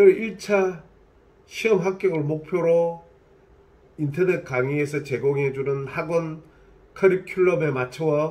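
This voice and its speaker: A man speaks at a very slow pace with long, frequent pauses. His pitch is high for a man. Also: ordinary pitch variation. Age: 60s. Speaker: licensed real estate agent. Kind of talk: casual talk to camera.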